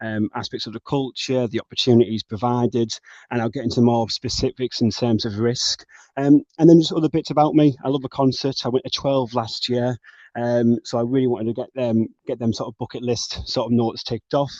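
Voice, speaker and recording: This man speaks with a North East England accent at a fairly quick pace. His pitch is medium and his intonation fairly even. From northern England, Middlesbrough. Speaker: bank graduate trainee. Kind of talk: webinar presentation.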